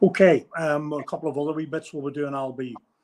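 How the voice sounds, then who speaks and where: A man speaks with a Northern Irish accent. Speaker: podcast host. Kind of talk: casual chat.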